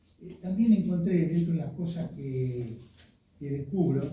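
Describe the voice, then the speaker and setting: Audible room echo surrounds a man with a fairly high voice. He talks at a fairly slow pace. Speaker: speaker presenting a tribute to their writer father. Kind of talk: commemorative presentation with slides. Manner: hesitant, many fillers.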